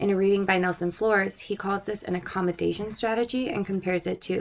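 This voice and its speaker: Here a woman speaks with a slight Southern US accent. Her pace is very fast and her intonation fairly even. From Puerto Rico. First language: Spanish. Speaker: student. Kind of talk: scripted narration.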